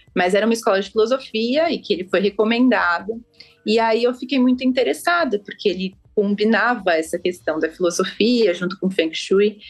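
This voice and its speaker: Speaking at a moderate pace, a woman has an unremarkable speaking voice of medium pitch with lively intonation. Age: 30s. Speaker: architect and feng shui consultant. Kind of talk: podcast interview.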